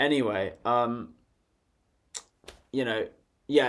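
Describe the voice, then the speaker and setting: A man speaks with a British accent. His pitch is medium, with ordinary variation. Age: 20s. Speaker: vlogger. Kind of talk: casual monologue. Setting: bedroom. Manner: laughing.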